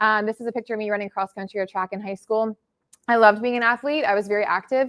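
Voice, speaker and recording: A woman's fairly high-pitched voice at a very fast pace, dry and close with no echo. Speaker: wellness practitioner. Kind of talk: presentation to a live and online audience. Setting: live talk with audience, also streamed. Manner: animated.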